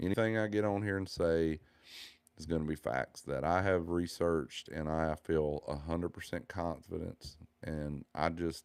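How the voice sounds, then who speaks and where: In a Southern US accent, a man speaks with a very deep, low pitch, fairly even intonation and a moderate pace on a very clean recording with a silent background. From US South. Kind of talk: religious monologue.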